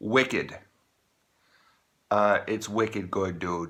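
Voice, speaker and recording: A man speaks in an American accent with a fairly low pitch. His tone is bright and sharp, and his intonation is fairly even. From Maine, USA. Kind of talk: casual talk to camera.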